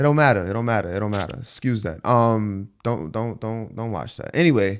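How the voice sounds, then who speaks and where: A man with an American accent talks at a fairly quick pace in an unremarkable speaking voice. His pitch is medium with ordinary pitch variation, on a very clean recording with a silent background. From New York. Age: 20s. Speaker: podcast host. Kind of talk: casual chat.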